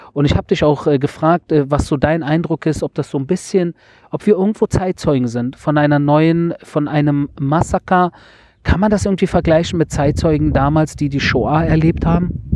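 The sound is dry and close with no echo as a man at a fairly high pitch talks at a moderate pace with ordinary pitch variation. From Germany, Berlin (Wedding). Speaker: podcast host reporting on war. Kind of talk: casual interview. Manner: hesitant, many filler sounds.

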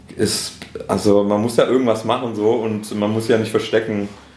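A man with a fairly low voice speaks at a fairly slow pace in a monotone, flat intonation. Noticeable background noise and audible room echo fill the recording. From Swabia, Schorndorf near Stuttgart. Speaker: rapper. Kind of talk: casual interview. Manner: halting, many fillers.

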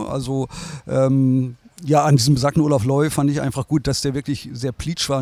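Fairly quick and fairly high, a man's voice carries a dark, mellow tone with fairly even intonation. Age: 60s. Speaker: design agency owner. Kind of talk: interview. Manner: hesitant, many fillers.

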